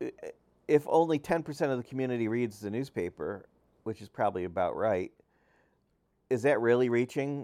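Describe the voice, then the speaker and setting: A man's medium-pitched, plain, everyday voice with an American accent, ordinary pitch variation, and a dry, close sound with no echo. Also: very clean recording, silent background. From upstate New York (Utica). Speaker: newspaper publisher and journalism professor. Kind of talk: solo podcast monologue. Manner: frequent fillers, conversational.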